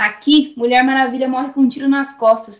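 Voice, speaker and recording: The speech moves at a fairly quick pace. The intonation is monotone and flat. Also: woman. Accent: Brazilian. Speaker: poet. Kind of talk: spoken-word poetry performance. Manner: impassioned, rhythmic, defiant; sarcastic, biting.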